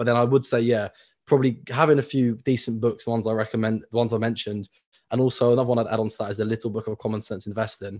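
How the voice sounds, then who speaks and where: A man with a British accent speaks at a very fast pace in a medium, monotone pitch with flat intonation, on a very clean recording with a silent background. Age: 20s. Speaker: personal finance educator. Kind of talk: interview.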